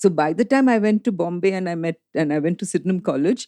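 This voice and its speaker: Speech comes at a very fast pace in a dark, mellow tone. The sound is dry and close, with no echo. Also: woman. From India. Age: 60s. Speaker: film critic and columnist. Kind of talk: interview conversation.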